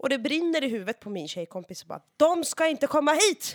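A woman speaks at a moderate pace in an animated tone, her pitch swinging very widely. The sound is dry and close, with no echo. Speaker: guest storyteller. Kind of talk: casual chat.

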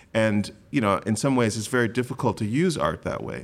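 A man with an American accent talks in a plain, everyday voice at a fairly low pitch. His pitch variation is ordinary, and the recording is very clean with a silent background. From US Midwest, Grand Rapids, Michigan. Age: 40s. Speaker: art critic and poet. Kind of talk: live panel discussion. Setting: stage with audience.

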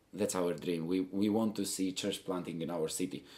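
A man with an Albanian accent speaks at a moderate pace. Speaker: missionary. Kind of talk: interview. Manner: halting, many repetitions.

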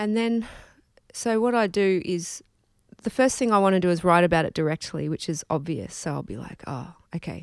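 With an Australian accent, a woman speaks at a moderate pace and a fairly low pitch, her intonation lively, in a very clean recording with a silent background. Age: 30s. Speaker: musician. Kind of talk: casual interview. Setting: face-to-face recording.

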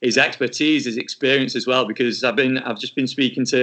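A man with a Lancashire accent at a very fast pace. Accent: Wigan twang. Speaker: podcast host. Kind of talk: podcast interview.

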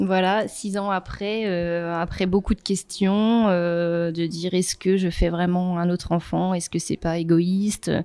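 Speaking fairly slowly in a monotone, flat delivery, a woman with a medium-pitched, dark, mellow tone comes through on a very clean recording with a silent background. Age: 30s. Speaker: breast cancer survivor. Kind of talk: testimony. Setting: photo shoot.

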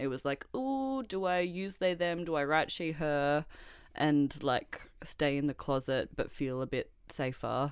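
A woman with an Australian accent speaks at a very deep, low pitch and moderate pace, with fairly even intonation, on a very clean recording with a silent background. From Australia, Melbourne. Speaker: artist and poet. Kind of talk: interview.

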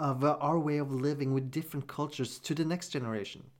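On a very clean recording with a silent background, a man talks at a fairly quick pace in a fairly high pitch. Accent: Norwegian. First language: Norwegian. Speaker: podcast host. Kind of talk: solo commentary podcast.

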